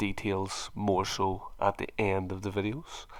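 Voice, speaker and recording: A man with an American accent speaks at a fairly low pitch and a fairly slow pace on a very clean recording with a silent background. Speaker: plasterer and video tutor. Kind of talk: tutorial.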